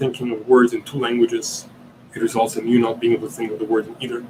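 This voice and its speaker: Noticeable background noise sits behind this man. He talks at a fairly quick pace with a medium pitch. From Italy. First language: Italian. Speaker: podcast host. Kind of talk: live Q&A stream. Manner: halting, many fillers and repeats.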